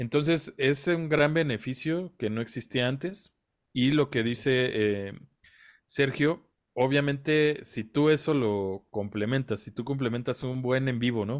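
This man has an ordinary speaking voice with a medium pitch. He talks at a fairly slow pace with ordinary pitch variation. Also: quiet background. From Mexico. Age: 30s. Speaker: independent musician, podcast co-host; podcast co-host. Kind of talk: casual chat. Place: home room.

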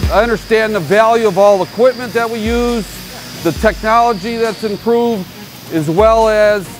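A high-pitched man at a moderate pace with ordinary pitch variation, clear music in the background. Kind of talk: interview answer. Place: factory. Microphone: lapel.

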